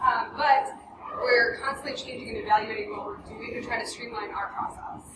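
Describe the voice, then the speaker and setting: Lively in intonation, a woman speaks at a high pitch amid audible room echo and noticeable background noise. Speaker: marketing director at a game studio. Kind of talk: conference presentation. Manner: fast.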